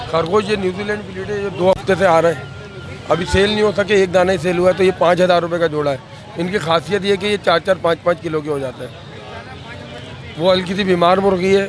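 Crowd noise fills the background as a man with a high voice talks at a moderate pace. His intonation is fairly even, and the sound is dry with no echo. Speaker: market seller. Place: market. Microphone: handheld.

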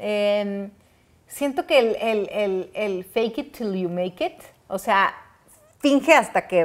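A woman speaks with a fairly high pitch and lively intonation. The background is quiet. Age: 30s. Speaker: talk show host. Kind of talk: casual chat. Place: home room. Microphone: lapel.

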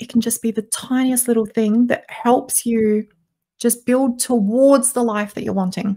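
A woman's fairly high voice, dark and mellow in tone, flat and monotone, at a moderate pace over a quiet background. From South Australia, Adelaide; South Australia. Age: 20s. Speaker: podcast guest, voice coach. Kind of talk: interview. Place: home room. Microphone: studio mic.

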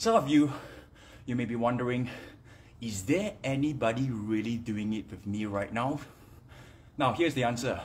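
A man speaks at a moderate pace in a somewhat breathy voice. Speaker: fitness trainer. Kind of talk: casual live-stream chat. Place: home room. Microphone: phone near.

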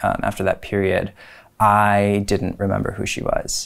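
At a fairly slow pace, a man talks with an American accent against a quiet background. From Cleveland, Ohio, US Midwest. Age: 30s. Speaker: history professor. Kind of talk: personal testimony interview. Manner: reflective, some hesitations (um). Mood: reflective, calm. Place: studio. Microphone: lapel.

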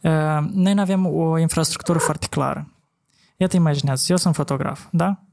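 A man with an ordinary speaking voice, pitched fairly high, talks at a moderate pace. His loudness stays very even and his intonation fairly even. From Moldova. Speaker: podcast host, former photographer; podcast host. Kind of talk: casual chat. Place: studio. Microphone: studio mic.

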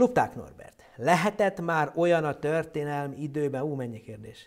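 Against a quiet background, a man with a fairly high pitch speaks at a fairly slow pace in an animated tone. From Hungarian community abroad. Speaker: astronomer presenting an astronomy show; presenter. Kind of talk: popular science lecture with live Q&A. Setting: online live stream. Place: studio. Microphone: lapel.

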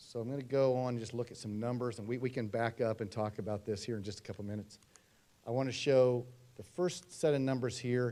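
A man's dark, mellow, medium-pitched voice at a fairly quick pace, with fairly even intonation, big swings in loudness and long, frequent pauses. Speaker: demographer presenting to school board. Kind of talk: presentation at public meeting. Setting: school board meeting. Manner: fast.

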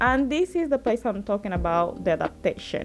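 Clear music sounds in the background. A woman talks over it. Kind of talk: casual vlog chat. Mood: warm, hopeful. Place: empty room. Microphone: phone near.

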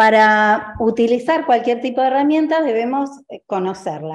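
A woman talks at a fairly slow pace with very wide pitch swings against a quiet background. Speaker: agricultural engineer presenting. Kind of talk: presentation. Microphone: video call.

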